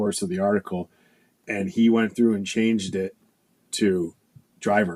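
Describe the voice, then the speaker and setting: On a very clean recording with a silent background, a man speaks with an American accent. His voice is fairly low, with ordinary pitch variation and a moderate pace. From Buffalo, New York. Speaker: fire captain. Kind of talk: casual chat. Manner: repetitive, animated.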